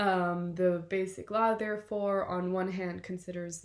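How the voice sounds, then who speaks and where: A woman talks at a fairly slow pace with a German accent. Her pitch is medium, and her intonation is fairly even. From southern Germany, Munich. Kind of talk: scripted presentation. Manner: formal.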